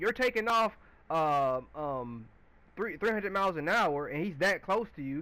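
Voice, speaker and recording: Recorded very cleanly against a silent background, a man speaks loudly in a bright, sharp, high-pitched voice with very wide pitch swings. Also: moderate pace. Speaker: gaming video creator. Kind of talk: gameplay commentary rant. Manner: halting.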